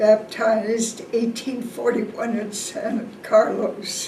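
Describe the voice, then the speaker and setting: A woman talks at a very slow pace with a fairly high pitch. Room echo is audible, and there is noticeable background noise. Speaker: family historian. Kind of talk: family history talk.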